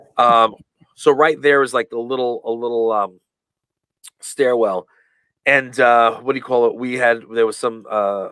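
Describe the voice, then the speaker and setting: A man with an American accent speaks at a moderate pace and medium pitch, his intonation fairly even, in a dry, close recording with no echo. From New York (Long Island). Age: 40s. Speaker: professional wrestler. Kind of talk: interview. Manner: halting, many fillers.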